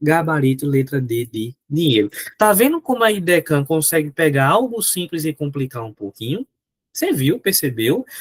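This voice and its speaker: A somewhat breathy, fairly high male voice at a moderate pace, with very wide pitch swings and a dry, close sound free of echo. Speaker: teacher. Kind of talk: lecture. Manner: animated.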